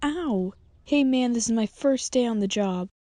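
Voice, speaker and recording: A female-sounding, cartoonish character voice is pitched fairly high. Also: moderate pace. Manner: defensive, easily flustered.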